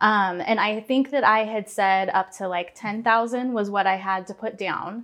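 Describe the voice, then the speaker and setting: A woman with an American accent speaks in an unremarkable speaking voice at a fairly high pitch, with fairly even intonation. She keeps a moderate pace with hardly any pauses against a quiet background. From Portland area, Oregon. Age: 30s. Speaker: marketing staff, first-time homebuyer. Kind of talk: casual interview chat.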